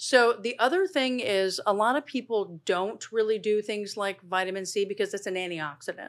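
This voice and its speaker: A woman with an unremarkable speaking voice and a fairly high pitch talks at a moderate pace with ordinary pitch variation and hardly any pauses, on a very clean recording with a silent background. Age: 50s. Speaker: dermatologist. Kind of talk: casual interview. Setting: studio.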